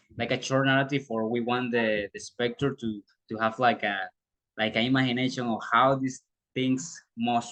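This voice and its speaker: The speaker has a Spanish accent and fairly even intonation and talks at a moderate pace, in a dry, close sound with no echo. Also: man. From Panama. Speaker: student teacher. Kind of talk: presentation of internship report. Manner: halting.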